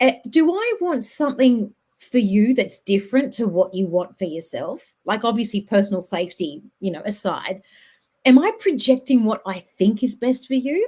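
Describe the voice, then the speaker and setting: A woman with an Australian accent speaks in a fairly high pitch with a dark, mellow tone and lively intonation. Her pace is moderate, on a very clean recording with a silent background. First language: not English. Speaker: podcast host and social worker. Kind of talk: casual chat.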